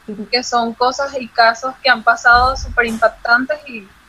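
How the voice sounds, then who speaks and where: High-pitched female speech with fairly even intonation and noticeable background noise. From Venezuela. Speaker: model and athlete. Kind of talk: casual chat. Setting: video call.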